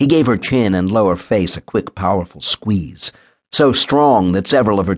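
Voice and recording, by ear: The intonation is lively as a natural voice reads aloud, with a quiet background behind it.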